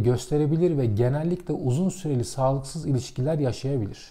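A man's somewhat breathy, dark, mellow voice at a fairly quick pace with ordinary pitch variation, over a quiet background. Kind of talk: lecture. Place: home room.

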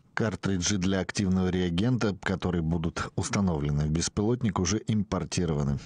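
Recorded dry and close with no echo over a quiet background, a man with a very deep, low pitch speaks at a moderate pace with ordinary pitch variation. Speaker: TV news reporter. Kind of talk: news report.

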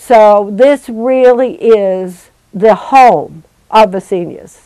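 Against a quiet background, a woman talks in a dark, mellow tone with ordinary pitch variation. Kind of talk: interview answer. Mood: proud, earnest. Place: office. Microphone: lapel.

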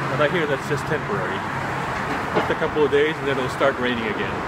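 A man rattles off his words very fast amid loud background noise. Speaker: vlogger. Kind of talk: casual vlog chat. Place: street. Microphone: phone near.

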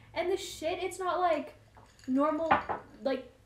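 A woman's extremely high-pitched voice at a slow pace, with ordinary pitch variation

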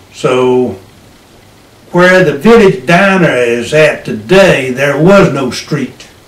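The speech moves at a very slow pace with long, frequent pauses. Audible room echo surrounds it. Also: man. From Hillsborough, North Carolina. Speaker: World War II Navy veteran, retired farmer. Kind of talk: interview answer. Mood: relaxed reminiscing. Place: home room. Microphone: camera far.

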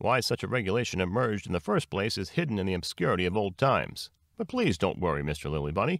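A man's put-on character voice, low-pitched with vocal fry, fast and full of big pitch swings, in a very clean recording with a silent background.

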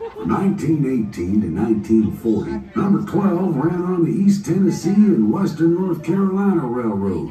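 Faint music plays in the background, and the recording has audible room echo. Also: man. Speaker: train announcer. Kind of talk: scripted safety announcement. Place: train. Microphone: pa.

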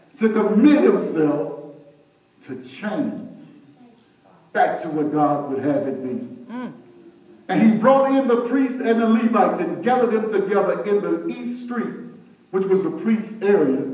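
A man's high, animated voice at a fairly slow pace, with very wide pitch swings, long, frequent pauses and audible room echo. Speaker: preacher. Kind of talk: sermon. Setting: church. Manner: call-and-response. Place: church. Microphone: camera far.

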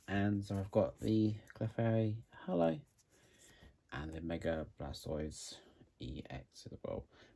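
The speech comes at a very slow pace. It is delivered in a British accent. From UK. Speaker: YouTuber opening trading card packs. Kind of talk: casual vlog narration. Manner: hesitant, many fillers. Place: home room. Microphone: phone near.

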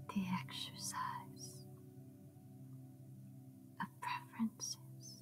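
Against clear background music, a woman speaks at a very slow pace. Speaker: ASMR meditation guide. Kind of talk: meditation reading. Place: home room.

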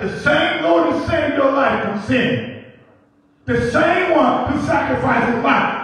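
A man speaks at a fairly slow pace, his pitch swinging very widely. Strong echo fills the room. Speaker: preacher, assistant pastor. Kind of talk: church sermon, preaching to congregation. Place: church.

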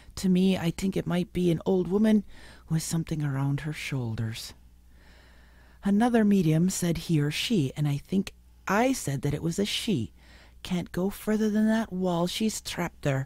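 A woman's fairly low-pitched voice with a dark, mellow tone and lively intonation, in an American accent, at a moderate pace, dry with no echo, over a quiet background. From US Midwest. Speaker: regular panelist; panelist. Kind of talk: casual chat and reading aloud. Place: studio. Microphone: studio mic.

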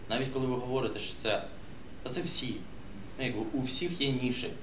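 Medium pitch from a man, ordinary pitch variation, noticeable background noise. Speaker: social media marketer. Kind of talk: workshop discussion. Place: meeting room. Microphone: camera far.

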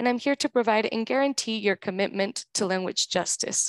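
A woman talks very fast with lively intonation, her dry sound carrying no echo over a quiet background. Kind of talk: meeting instructions. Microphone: headset.

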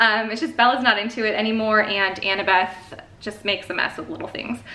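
Audible room echo surrounds a woman with an American accent. She talks at a fairly quick pace with a fairly high pitch. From Chicago. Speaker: homeschooling mom YouTuber; mother vlogger. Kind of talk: casual haul video monologue. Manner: chatty, fast, many fillers. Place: home room. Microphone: camera far.

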